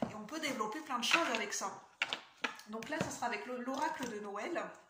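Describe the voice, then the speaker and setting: With audible room echo and noticeable background noise, a woman speaks at a high pitch and a fairly quick pace, with ordinary pitch variation. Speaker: tarot reader and spiritual coach. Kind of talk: casual vlog talk to viewers. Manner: fast; hesitant with fillers.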